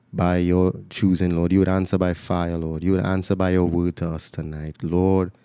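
A man with a very deep, low pitch and a dark, mellow tone speaks with monotone, flat intonation in a dry sound with no echo and a quiet background. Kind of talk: prayer. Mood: earnest, fervent. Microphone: studio mic.

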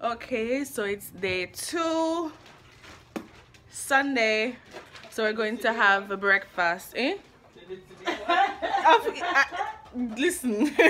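Loud background noise surrounds a woman's raised, projected voice with a high pitch and very wide pitch swings. She speaks at a very slow pace with long, frequent pauses. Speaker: vlogger. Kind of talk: casual vlog talk to camera. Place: home room. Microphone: phone near.

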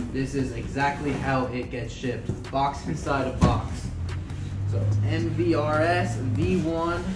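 Music plays in the background as a man speaks at a very slow pace. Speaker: product reviewer. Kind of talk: casual unboxing vlog chat. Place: garage. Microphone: phone near.

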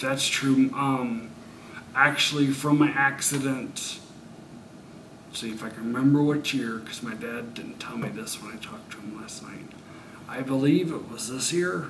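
The speaker keeps a moderate pace with ordinary pitch variation, big swings in loudness and long, frequent pauses over noticeable background noise. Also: man, medium pitch for a man. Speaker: brain injury survivor. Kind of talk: interview answer. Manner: halting, pausing. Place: studio.

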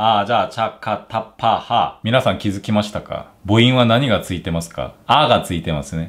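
A man with a Korean accent. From South Korea. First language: Korean (speaking Japanese). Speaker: language teacher YouTuber. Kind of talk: tutorial. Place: home room.

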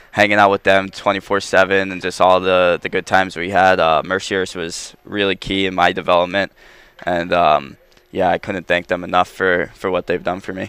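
With a Long Island accent, a man speaks at a very deep, low pitch in a bright, sharp tone. His intonation is monotone and flat, at a moderate pace. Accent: Long Island New York. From New York, Long Island. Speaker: professional hockey player. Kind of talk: casual interview. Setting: studio.

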